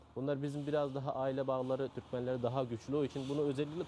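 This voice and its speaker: A man at a very fast pace, with a dark, mellow tone and medium pitch. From Afghanistan (Turkmen community). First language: Turkmen (speaking Turkish). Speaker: carpet shop owner. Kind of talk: interview. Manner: halting.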